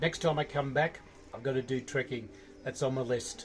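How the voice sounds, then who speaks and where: Speaking with an Australian accent, a man uses a fairly high pitch. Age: 60s. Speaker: trekker. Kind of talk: interview.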